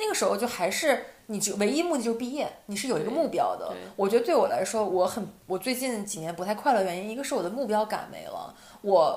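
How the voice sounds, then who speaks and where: Over noticeable background noise and audible room echo, a woman speaks at a very fast pace in a fairly high pitch with very wide pitch swings. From Northeast China. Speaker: podcast co-host. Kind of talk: casual chat.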